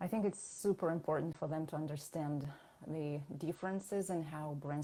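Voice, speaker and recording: With a Russian accent, a woman talks at a moderate pace in a very deep, low voice, her tone dark and mellow and her intonation fairly even. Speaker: branding consultant and designer. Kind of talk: interview.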